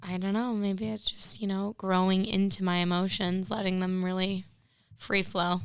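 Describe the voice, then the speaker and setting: A woman speaks at a medium pitch with monotone, flat intonation. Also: moderate pace. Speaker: podcast co-host. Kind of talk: casual chat.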